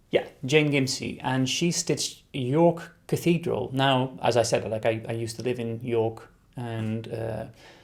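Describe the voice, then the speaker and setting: Somewhat breathy, a man's voice has medium pitch and ordinary pitch variation. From Netherlands. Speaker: embroidery designer and video host. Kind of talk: casual chat answering viewer questions. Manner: hesitant with many fillers.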